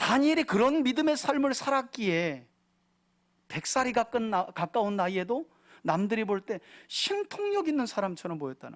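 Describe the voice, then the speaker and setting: In a very clean recording with a silent background, a man speaks at a moderate pace with an extremely high pitch and very wide pitch swings. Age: 60s. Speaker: pastor. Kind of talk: sermon.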